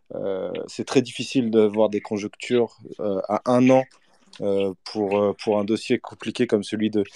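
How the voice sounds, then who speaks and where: Against a quiet background, in dry, close sound with no echo, a man with a dark, mellow tone and fairly low pitch speaks in a flat monotone at a fairly slow pace. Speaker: football journalist. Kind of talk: interview. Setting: online audio space. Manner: hesitant, many fillers.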